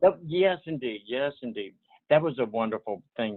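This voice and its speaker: A man with an American accent, moderate pace and ordinary pitch variation. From US South, Portsmouth, Virginia. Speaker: retirement community resident. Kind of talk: interview. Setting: video call. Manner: halting.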